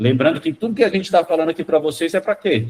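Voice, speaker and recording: Somewhat breathy, a man talks at a fairly quick pace with lively intonation. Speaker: school marketing consultant. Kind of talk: online training session. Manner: fast; animated.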